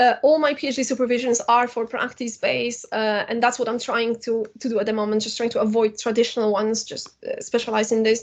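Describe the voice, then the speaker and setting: The speech runs at a very fast pace with hardly any pauses, in a monotone, flat intonation. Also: woman, fairly high pitch for a woman. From Poland. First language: Polish. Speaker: university lecturer and filmmaker. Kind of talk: lecture. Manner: hesitant with fillers.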